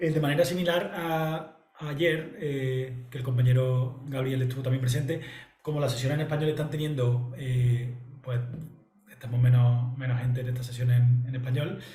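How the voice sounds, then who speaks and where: A man with an Andalusian accent talks at a moderate pace and medium pitch, his intonation fairly even. Audible room echo and noticeable background noise fill the recording. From Andalusia, southern Spain. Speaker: analyst and trainer presenting a software platform. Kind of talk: presentation. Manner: halting, many fillers and repetitions.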